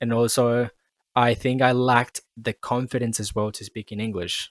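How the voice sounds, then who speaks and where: At a moderate pace, a man speaks at medium pitch in a monotone, flat intonation with big swings in loudness, captured in a dry, close sound with no echo. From Colombia. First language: Spanish. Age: 20s. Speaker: podcast host. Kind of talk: casual chat. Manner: halting, repeats words.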